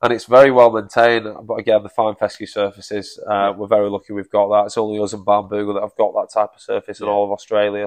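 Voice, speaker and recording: A man with a Manchester accent at a very fast pace, against a quiet background. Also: dry, close sound with no echo. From Manchester, England. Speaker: golf operations director. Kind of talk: casual chat.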